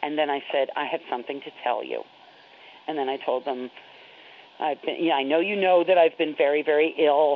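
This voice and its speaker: A woman with an American accent has a very deep, low pitch and fairly even intonation. Noticeable background noise runs underneath. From New York. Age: 40s. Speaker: HIV educator and activist. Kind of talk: personal interview storytelling.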